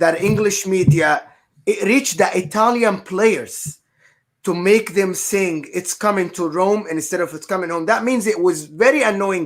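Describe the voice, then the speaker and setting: With an Arabic accent, a man talks at a moderate pace in a high pitch, using ordinary pitch variation. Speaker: football podcast panelist. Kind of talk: casual chat.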